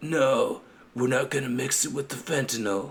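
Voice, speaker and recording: Putting on a character voice with an Italian accent, a man speaks at a medium pitch and a moderate pace. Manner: bad mobster imitation.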